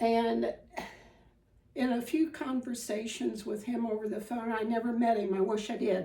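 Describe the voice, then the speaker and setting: Speaking at a very slow pace, a woman with a Midwestern accent has a fairly high pitch, a dark, mellow tone, vocal fry and ordinary pitch variation. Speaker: spinning and fiber craft teacher. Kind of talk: tutorial. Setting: home dining room. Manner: casual, with frequent filler ums.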